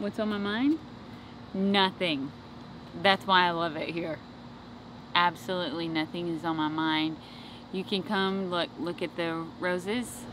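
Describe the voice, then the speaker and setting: Speaking at a fairly slow pace with long, frequent pauses, a woman with a fairly low pitch and ordinary pitch variation sounds dry with no echo, over noticeable background noise. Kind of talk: casual vlog chat. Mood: relaxed, content. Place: garden.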